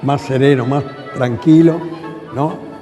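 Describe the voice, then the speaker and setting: A man speaks very slowly with ordinary pitch variation while music plays in the background. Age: 80s+. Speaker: tango dancer. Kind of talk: interview answer.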